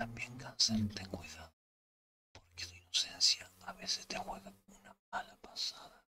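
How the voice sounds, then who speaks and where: Speaking at a fairly slow pace, a man keeps to a whisper. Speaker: tarot reader. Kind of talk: tarot reading, ASMR-style zodiac sign readings. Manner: soft-spoken, whispered.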